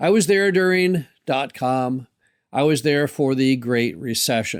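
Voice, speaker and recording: Lively intonation marks a man's fairly high, plain, everyday voice, with very even loudness on a very clean recording with a silent background. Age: 60s. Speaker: podcast host, mobile home park investor. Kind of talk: solo podcast monologue.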